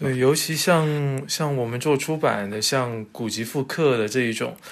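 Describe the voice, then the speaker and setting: A man with a normal speaking voice talks at a fairly slow pace in a medium pitch, with ordinary pitch variation. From China, Zhanjiang, western Guangdong. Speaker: character encoding standards expert, publisher. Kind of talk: casual interview chat. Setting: remote virtual studio.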